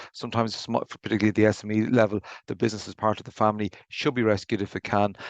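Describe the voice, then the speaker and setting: With an Irish accent, a man speaks very fast in a fairly low, monotone, flat voice, the sound dry and close with no echo over a quiet background. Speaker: insolvency practitioner. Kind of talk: webinar presentation. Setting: video call. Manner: halting, with repetitions.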